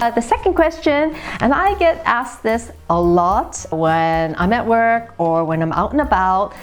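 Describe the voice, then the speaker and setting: Against noticeable background noise, a woman with an American accent speaks at a fairly high pitch, her voice making very wide pitch swings while her loudness stays very even. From San Francisco Bay Area, California. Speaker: vinyl collecting YouTuber. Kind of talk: casual Q&A vlog. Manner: casual, with many filler uhs.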